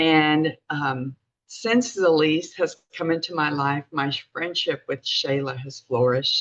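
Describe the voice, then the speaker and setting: At a fairly slow pace, a woman speaks in an unremarkable speaking voice. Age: 60s. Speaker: network marketing distributor. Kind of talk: testimony.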